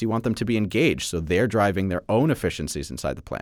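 Recorded very cleanly against a silent background, a man with a fairly low pitch and ordinary pitch variation speaks in a normal speaking voice. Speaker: manufacturing nonprofit executive. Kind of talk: interview.

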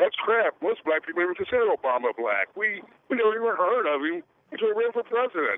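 A man talks fast at a high pitch with big pitch swings, in a dry, close sound with no echo.

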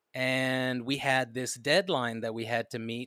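Very slowly, a man speaks at a medium pitch in a bright, sharp tone, the sound dry and close with no echo. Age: 30s. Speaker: musician and songwriter. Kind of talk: casual interview. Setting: remote call.

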